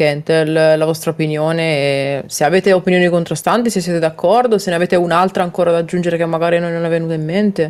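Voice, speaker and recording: At a very fast pace and with hardly any pauses, a woman speaks in a fairly low pitch with fairly even intonation. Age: 20s. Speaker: gaming podcast co-host. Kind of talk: casual chat.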